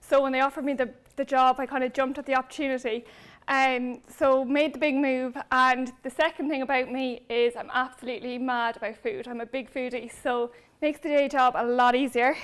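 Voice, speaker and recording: A woman with a Cork accent speaks at a high pitch and a fairly quick pace. Her intonation is monotone and flat. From Ireland, Cork. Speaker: brand manager. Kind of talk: conference talk.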